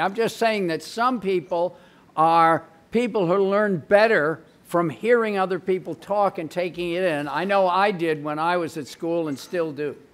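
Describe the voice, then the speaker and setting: Speaking in a high voice at a moderate pace, a man uses lively intonation. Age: old. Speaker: English professor. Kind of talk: panel discussion. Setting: stage with audience. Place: hall. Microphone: podium.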